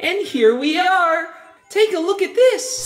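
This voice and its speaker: An extremely high, squeaky character voice is put on at a fairly slow pace. A slight echo surrounds it. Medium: audio drama. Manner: bubbly, friendly.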